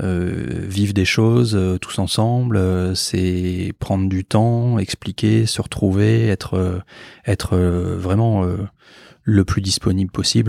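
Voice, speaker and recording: In a very clean recording with a silent background, a man with a very deep, low pitch and a dark, mellow tone speaks at a very slow pace with ordinary pitch variation, the sound dry and close with no echo. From France, Bordeaux. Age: 40s. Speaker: doctor and startup founder. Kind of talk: interview.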